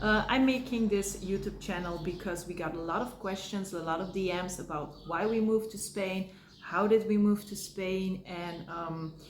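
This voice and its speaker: With audible room echo and noticeable background noise, a woman talks at a moderate pace in a medium pitch with fairly even intonation. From Belgium. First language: Dutch or Polish. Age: 30s. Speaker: family vlogger. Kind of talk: casual vlog. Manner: halting.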